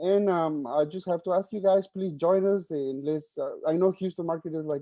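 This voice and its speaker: A man with a Spanish accent, ordinary pitch variation, and a fairly quick pace. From Mexico. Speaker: journalist, board finance officer. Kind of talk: virtual meeting self-introduction. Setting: video call. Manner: halting, many fillers.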